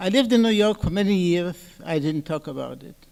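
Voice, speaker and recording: This man has a high voice with ordinary pitch variation and talks at a moderate pace. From Poland. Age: 90s. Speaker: Holocaust survivor speaker. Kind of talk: testimony talk.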